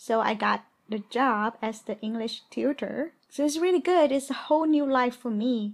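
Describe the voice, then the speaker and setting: Speaking with a Vietnamese accent at a moderate pace, the voice shows ordinary pitch variation and hardly any pauses. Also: woman, high pitch for a woman. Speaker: podcast co-host. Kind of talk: casual chat.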